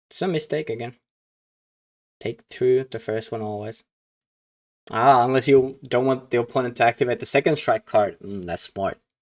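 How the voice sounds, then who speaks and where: The speech moves at a moderate pace with ordinary pitch variation, and the sound is dry and close with no echo. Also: man. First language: not English. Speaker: card game commentator. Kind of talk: live game commentary reaction. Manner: halting.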